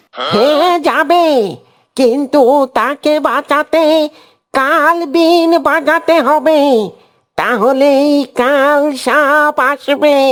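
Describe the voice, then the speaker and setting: A woman does a cartoonish character voice with a high pitch, fairly even intonation, very even loudness, and a very slow pace. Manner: calm, fatherly.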